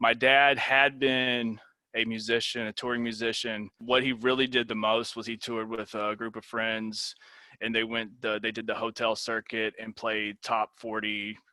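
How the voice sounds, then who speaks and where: A man with a Tennessee accent speaks at a medium pitch and moderate pace, with monotone, flat intonation and a bright, sharp tone. The very clean recording has a silent background and a dry, close sound with no echo. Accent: Southern US (Tennessee). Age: 30s. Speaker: university lecturer. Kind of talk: lecture. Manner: casual, many fillers.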